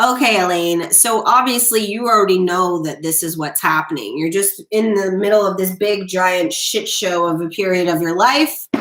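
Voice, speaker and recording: A woman speaks loudly with an American accent at a moderate pace. She leaves hardly any pauses, and there is noticeable background noise. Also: medium pitch for a woman, ordinary pitch variation. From Florida. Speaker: tarot reader. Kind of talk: live stream tarot readings. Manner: animated.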